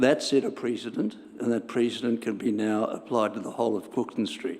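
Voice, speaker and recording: This man has a medium pitch and talks at a moderate pace. He speaks in an Australian accent. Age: 80s+. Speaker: resident speaking at council meeting. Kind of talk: public submission. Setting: council chamber.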